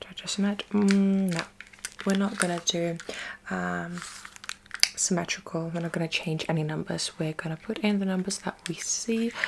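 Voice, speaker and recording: At a moderate pace with long, frequent pauses, a woman speaks in a medium pitch and fairly even intonation over noticeable background noise. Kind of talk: ASMR roleplay, personal attention. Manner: friendly, gentle, with frequent hesitations.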